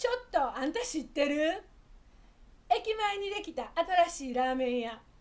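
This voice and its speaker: A woman speaks at a moderate pace in a high voice that swings very widely in pitch. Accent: Osaka. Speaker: Japanese dialect teacher. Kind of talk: casual talk to camera, language lesson.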